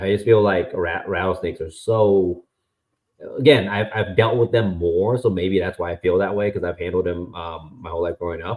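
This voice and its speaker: Somewhat breathy and very deep, a man's low-pitched voice moves at a moderate pace with fairly even intonation. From US (born in Vietnam, moved 1993 as a child). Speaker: venomous snake keeper. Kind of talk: casual chat. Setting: live stream.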